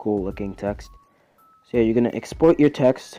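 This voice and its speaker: Over music in the background, a man speaks at medium pitch. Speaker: YouTuber making tutorials. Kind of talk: tutorial. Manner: casual, hesitant with fillers.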